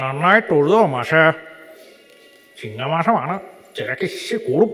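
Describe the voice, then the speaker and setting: A man uses a put-on, high-pitched character voice with lively intonation, speaking at a very slow pace. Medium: stage play. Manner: chatty, helpful.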